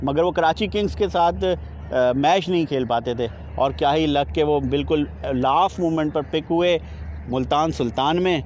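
With a fairly high pitch and ordinary pitch variation, a man speaks at a moderate pace with few pauses.

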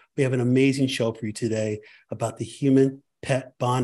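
Against a quiet background, a man speaks at a moderate pace with a dark, mellow tone that is somewhat breathy. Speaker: podcast host. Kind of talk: podcast intro. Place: home room.

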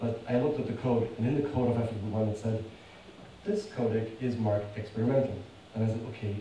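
The recording has light background noise and audible room echo. A man talks at a fairly quick pace. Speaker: conference speaker. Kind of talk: conference presentation. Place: hall.

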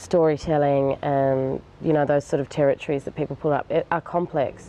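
Someone with an Australian accent speaks at a moderate pace in a monotone, flat intonation, with light background noise. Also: woman, very deep, low pitch for a woman. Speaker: filmmaker. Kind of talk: interview answer. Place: garden. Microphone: lapel.

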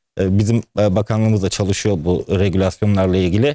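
A man's dark, mellow tone at a fairly quick pace, dry with no echo, over a quiet background. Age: 30s. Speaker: entrepreneur and businessman; guest. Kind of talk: TV interview. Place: studio.

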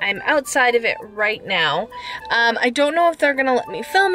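A high-pitched woman's voice over clear background music. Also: dry sound with no echo. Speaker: vlogger. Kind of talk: casual vlog chat. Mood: cheerful, a bit nervous. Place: car. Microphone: phone near.

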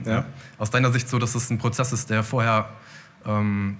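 The intonation is monotone and flat. It is a man with a fairly low pitch. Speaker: audience member. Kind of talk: audience question. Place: hall. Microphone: handheld.

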